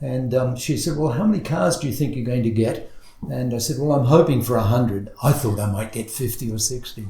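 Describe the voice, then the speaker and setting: A medium-pitched man's voice comes through with audible room echo and noticeable background noise. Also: ordinary pitch variation, fairly quick pace. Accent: Australian. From Australia. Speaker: car show organizer. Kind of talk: podcast interview. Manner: halting, many fillers.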